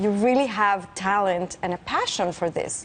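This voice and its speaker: With a Spanish accent, a woman talks in a fairly high voice with lively intonation against noticeable background noise. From Mexico City. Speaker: physicist. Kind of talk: interview.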